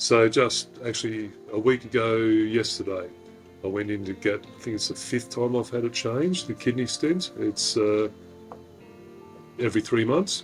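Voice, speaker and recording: Music plays in the background while the speech moves at a moderate pace. The loudness swings widely. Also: man, medium pitch for a man, ordinary pitch variation. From Australia. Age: 50s. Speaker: retired deep sea diver, cancer patient. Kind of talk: interview answer.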